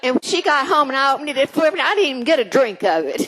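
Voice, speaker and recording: Over noticeable background noise, a woman with an American accent talks at a very fast pace in a high pitch with very wide pitch swings. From Oklahoma. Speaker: storyteller. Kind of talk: storytelling performance. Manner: warm.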